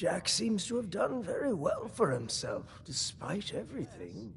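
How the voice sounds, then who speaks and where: A man in a put-on character voice over clear background noise. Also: moderate pace. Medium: game stream. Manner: grandiose, theatrical.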